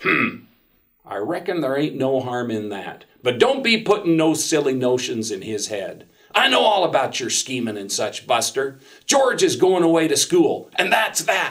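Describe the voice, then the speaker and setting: A man's gruff, put-on character voice, fairly high in pitch, with very wide pitch swings, at a moderate pace. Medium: read story. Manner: gruff, barking.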